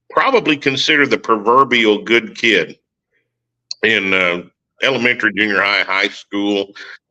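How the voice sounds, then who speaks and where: Against a quiet background, a man with a bright, sharp tone talks at a moderate pace and a medium pitch, with ordinary pitch variation and long, frequent pauses. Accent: Oklahoma. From Oklahoma. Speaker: war veteran. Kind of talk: testimony.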